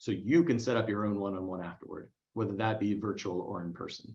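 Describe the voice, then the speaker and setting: The pace is fairly quick. It belongs to a man. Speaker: career coach. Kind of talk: webinar Q&A. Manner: fast; animated.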